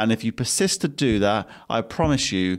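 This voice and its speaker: A man with an English accent at a moderate pace, ordinary pitch variation, in a very clean recording with a silent background. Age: 20s. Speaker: podcast host and business owner. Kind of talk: solo podcast monologue.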